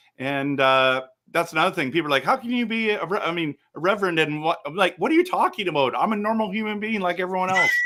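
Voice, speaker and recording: A loud voice with a bright, sharp tone comes through in a very clean recording with a silent background. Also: man. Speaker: reverend and podcast host. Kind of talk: casual chat. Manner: animated.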